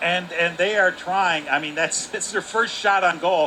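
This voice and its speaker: Noticeable background noise sits behind a man's voice. He speaks with a high pitch at a moderate pace. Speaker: color commentator. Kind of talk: live hockey color commentary.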